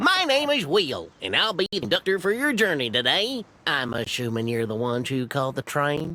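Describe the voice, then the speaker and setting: A man puts on a character voice with a fairly high pitch. He speaks at a moderate pace. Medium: video game. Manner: formal, courteous.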